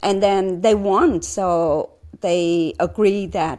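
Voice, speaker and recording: This woman's tone is dark and mellow, with fairly even intonation. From Vietnam, Saigon. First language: Vietnamese. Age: 60s. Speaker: former refugee. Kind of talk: interview. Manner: halting, many fillers.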